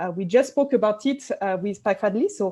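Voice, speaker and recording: Over a quiet background, a woman speaks in a dark, mellow tone. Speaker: sociologist, university lecturer. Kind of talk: webinar lecture. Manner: fast; hesitant, many fillers.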